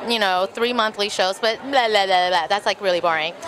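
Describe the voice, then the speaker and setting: A woman's voice is heard with noticeable background noise. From Texas, with early years in Taiwan and Bolivia. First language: Mandarin Chinese. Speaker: burlesque performer and show producer. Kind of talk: casual interview. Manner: animated.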